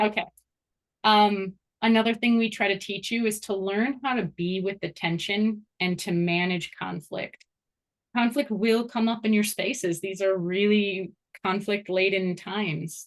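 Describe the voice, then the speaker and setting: In a normal speaking voice, a woman talks at medium pitch with fairly even intonation and a fairly slow pace. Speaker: course instructor and program founder. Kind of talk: informational presentation.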